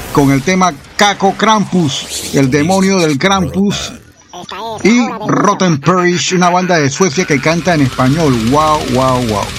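A high-pitched man with a Panamanian accent, very slow, with lively intonation and a relaxed, upbeat tone amid noticeable background noise. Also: very even loudness. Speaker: online radio host. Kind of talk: radio DJ patter, casual chatty show-host talk introducing songs and greeting listeners. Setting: radio studio booth. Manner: relaxed, friendly, upbeat radio-host delivery with laughs.

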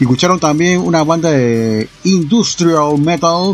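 Music plays behind the voice. A man talks with ordinary pitch variation. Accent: Panamanian. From Panama City, Panama. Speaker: radio host. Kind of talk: radio DJ patter, extreme-metal show host. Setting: radio studio broadcast. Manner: relaxed, chatty, friendly; halting, rambling, trailing off mid-thought.

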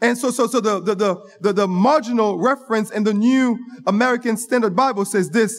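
An animated man with a high-pitched voice. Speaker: preacher. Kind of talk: sermon. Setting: church. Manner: animated, call-and-response style, interacting with congregation; teaching, pausing and repeating phrases.

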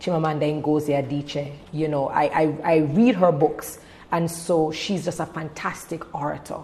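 A woman with a very deep, low pitch talks at a moderate speed and with fairly even intonation, with noticeable background noise around her. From Jamaica. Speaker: events and television host, speaker. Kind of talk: casual interview.

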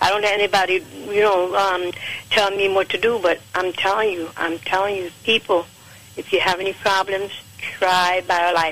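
The speaker has an American accent and a monotone, flat intonation, moving at a moderate pace over noticeable background noise. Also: woman, medium pitch for a woman. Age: 70s. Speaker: caller giving product testimonial. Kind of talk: phone-in testimony.

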